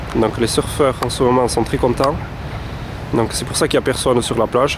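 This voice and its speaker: A man talks at a medium pitch. Noticeable noise sits in the background. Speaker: holiday rental owner. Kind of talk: guided video tour. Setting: outdoors. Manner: halting.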